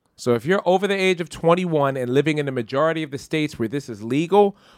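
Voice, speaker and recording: Lively intonation and an animated tone mark a man's fairly high voice. The recording is very clean and dry, close with no echo and a silent background. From Philadelphia. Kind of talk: casual comedic banter. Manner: animated, joking.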